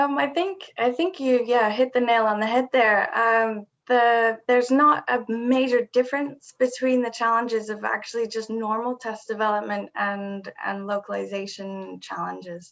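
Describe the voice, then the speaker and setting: Pitched fairly high, a woman speaks at a moderate pace with ordinary pitch variation. She leaves hardly any pauses. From Britain. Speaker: assessment developer. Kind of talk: Q&A discussion.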